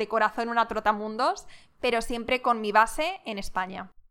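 This woman's voice is fairly high in pitch, with a bright, sharp tone. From Madrid, Spain. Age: 20s. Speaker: podcast host, entrepreneur. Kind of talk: casual monologue, Q&A.

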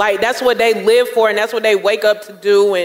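Someone with a Southern US accent talks at a moderate pace over noticeable background noise. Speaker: podcast host. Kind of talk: live podcast show. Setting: stage with audience.

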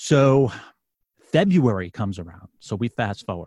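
A somewhat breathy man with a New York accent at a moderate pace, dry and close with no echo, on a very clean recording with a silent background. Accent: New York City. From New York City. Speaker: former police sergeant and podcast host. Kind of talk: testimony.

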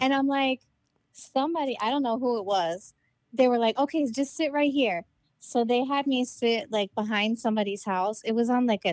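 A woman with an ordinary speaking voice talks at a moderate pace, with a fairly high pitch and ordinary pitch variation. Her loudness stays very even, and the sound is dry and close with no echo. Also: very clean recording, silent background. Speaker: podcaster, childhood friend. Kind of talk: casual chat.

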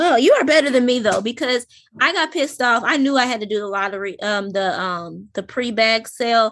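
A woman's fairly high voice, an unremarkable speaking voice, with lively intonation at a fairly quick pace against a quiet background. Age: 30s. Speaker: podcast co-host. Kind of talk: casual chat.

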